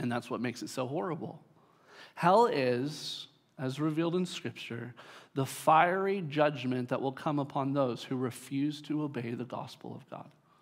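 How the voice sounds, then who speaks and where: A man with a plain, everyday voice speaks at a moderate pace and a fairly high pitch. His pitch variation is ordinary, and the recording is very clean with a silent background. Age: 30s. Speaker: pastor. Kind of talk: sermon. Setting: church.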